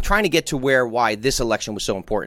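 With an American accent, a man speaks in an animated tone in a very clean recording with a silent background. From New Jersey. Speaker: fishing podcast host. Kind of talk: casual chat.

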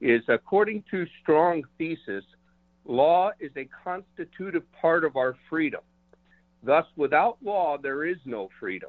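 This man speaks in a plain, everyday voice, pitched fairly high for a man. His intonation is lively and his pace fairly slow. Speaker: caller. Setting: phone call.

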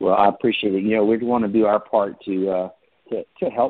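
Fairly even intonation from a man with a fairly low pitch. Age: 60s. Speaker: franchise founder and CEO. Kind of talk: interview.

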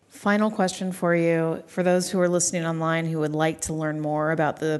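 A woman uses a normal speaking voice, pitched fairly low. She talks at a fairly quick pace. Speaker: podcast host. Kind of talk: interview. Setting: live at a conference.

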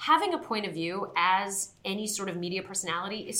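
With audible room echo around her, a woman speaks at a medium pitch, her tone bright and sharp and her intonation lively. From Southern California, born in Queens, New York. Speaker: sports television host. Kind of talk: interview.

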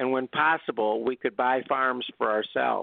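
A man talks in an unremarkable speaking voice. His pitch is medium and his pace is moderate. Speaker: author. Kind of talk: interview.

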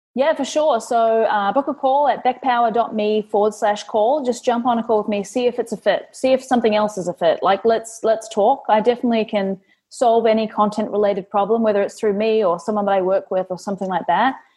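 A fairly high-pitched woman's voice in a New Zealand accent, fairly quick, with ordinary pitch variation. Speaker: content marketing agency owner. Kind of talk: interview.

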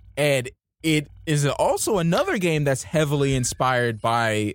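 A man with a normal speaking voice talks at a fairly slow pace with lively intonation. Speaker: podcast co-host. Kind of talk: casual chat.

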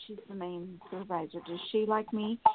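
An ordinary speaking voice from a woman, with fairly even intonation and a moderate pace. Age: 60s. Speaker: caller. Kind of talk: phone call-in asking for a reading.

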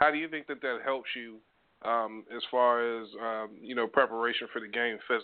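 At a fairly quick pace, a man with a medium pitch and fairly even intonation talks in an ordinary speaking voice. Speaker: sports radio co-host. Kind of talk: sports talk radio show.

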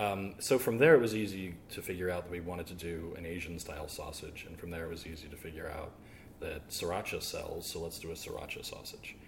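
Big swings in loudness, audible room echo, and a fairly quick pace. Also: man. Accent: American. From US South. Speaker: butcher. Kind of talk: interview.

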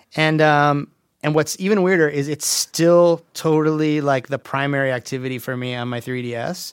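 A man with a plain, everyday voice speaks at a moderate pace, his pitch fairly high. The intonation stays fairly even, and the sound is dry and close with no echo. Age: 40s. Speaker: game audio director, guest. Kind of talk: casual chat. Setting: studio.

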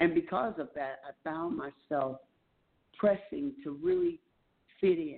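The voice has a warm tone and a fairly slow pace. Long, frequent pauses break up the speech. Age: 50s. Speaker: radio host, pastor and author. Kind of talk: radio talk show monologue, sermon-like. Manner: warm, motivational, inspirational.

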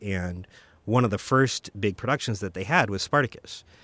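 This man has a normal speaking voice, fairly low in pitch, moving at a moderate pace with ordinary pitch variation on a very clean recording with a silent background. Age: 40s. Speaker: film director and writer. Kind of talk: casual chat. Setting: studio.

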